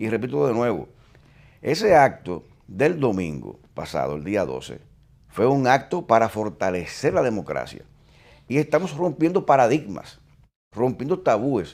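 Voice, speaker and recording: Speaking at a fairly slow pace, a man takes long, frequent pauses, and his voice has vocal fry. His pitch is medium, with very wide swings. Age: 60s. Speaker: retired police chief. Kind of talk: interview.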